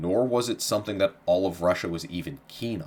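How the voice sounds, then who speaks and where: This is a man speaking. His pace is fairly quick. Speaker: history podcast host. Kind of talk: history narration.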